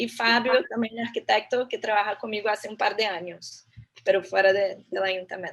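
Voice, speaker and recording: The woman's pitch is medium and her pace moderate. Intonation remains fairly even throughout. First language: Portuguese (speaking Spanish). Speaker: architect and urban planner, guest lecturer. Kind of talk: lecture.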